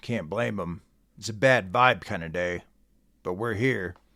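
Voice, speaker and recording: In a put-on character voice, a man speaks raspy and fairly low-pitched at a moderate pace, on a very clean recording with a silent background. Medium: read story. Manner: mellow, casual.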